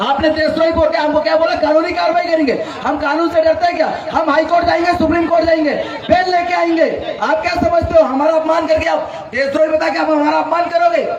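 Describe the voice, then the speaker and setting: Loud and at a moderate pace, a man talks with an extremely high pitch and fairly even intonation, with noticeable background noise and audible room echo. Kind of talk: heated argument with an official.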